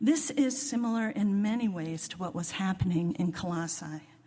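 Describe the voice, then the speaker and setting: A woman speaks at a fairly low pitch in a dark, mellow, somewhat breathy tone. Her pace is moderate and her intonation lively. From US, northern Virginia (Washington DC suburbs). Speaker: lay preacher. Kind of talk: sermon.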